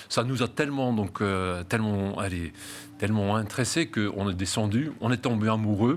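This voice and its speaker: In a very clean recording with a silent background, a man with a slight Belgian accent speaks at a fairly low pitch, with ordinary pitch variation and very even loudness. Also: moderate pace. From Flanders, Belgium. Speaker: real estate agency founder. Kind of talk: interview. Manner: halting, many fillers and repetitions.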